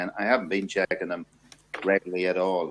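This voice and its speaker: This man talks at a fairly quick pace. His pitch is very deep and low. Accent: Irish. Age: 50s. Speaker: men's talk show host. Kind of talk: casual discussion. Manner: hesitant, many fillers.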